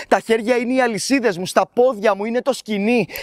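Pitched high, a man delivers his lines in a dramatic tone with ordinary pitch variation. The sound is dry and close with no echo, and the recording is very clean against a silent background. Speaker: spoken word poet. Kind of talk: poetry slam performance, dramatic first-person monologue. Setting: stage with audience. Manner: dramatic, emotionally charged delivery.

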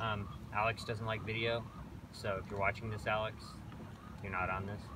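Noticeable background noise sits behind a man's voice. He speaks at a fairly quick pace in a monotone, flat intonation. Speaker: boat owner vlogger. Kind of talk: casual vlog chat. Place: boat.

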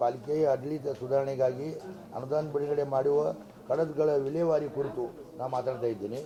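This man has a fairly high pitch and a monotone, flat intonation. The room echo is audible and the background noise is noticeable. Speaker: city mayor. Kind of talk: press conference statement.

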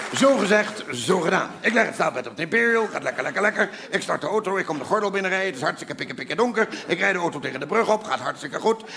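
A man's high voice, very fast with lively intonation and hardly any pauses, over noticeable background noise. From Netherlands. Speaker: comedian. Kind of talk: stand-up comedy show. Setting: stage. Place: stage. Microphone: lapel.

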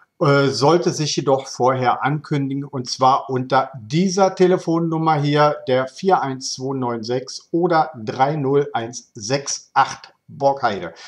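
Very slowly, a man speaks with only a quiet background behind him. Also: ordinary pitch variation. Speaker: local news video host. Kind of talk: local news presentation. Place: home room. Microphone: webcam.

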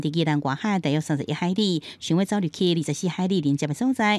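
Dry and close with no echo, a woman speaks with a Taiwanese accent and lively intonation. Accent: Taiwanese Hokkien. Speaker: news reporter. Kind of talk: news report narration.

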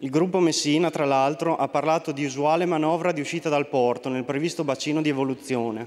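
Fairly high in pitch, a man rattles along at a very fast pace with fairly even intonation. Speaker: member of parliament. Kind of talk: parliamentary oratory, political statement; parliamentary speech. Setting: parliament chamber. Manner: formal, reading prepared text. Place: hall. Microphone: podium.

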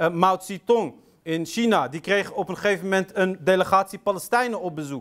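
A man's voice over a quiet background. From Rif region, northern Morocco (Riffian heritage); Morocco. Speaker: Islamic lecturer. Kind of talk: lecture. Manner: hesitant, many fillers. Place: hall.

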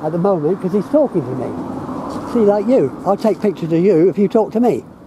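The sound is dry, with no echo. Noticeable background noise can be heard. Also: fairly quick pace. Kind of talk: argumentative exchange. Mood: defensive, curt. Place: street. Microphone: phone near.

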